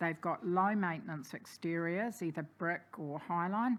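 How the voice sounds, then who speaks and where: This woman speaks with a New Zealand accent at a moderate pace, her fairly low pitch moving with ordinary variation. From New Zealand, Napier. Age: 60s. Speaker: community advocate. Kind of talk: public submission at council hearing. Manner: hesitant with fillers.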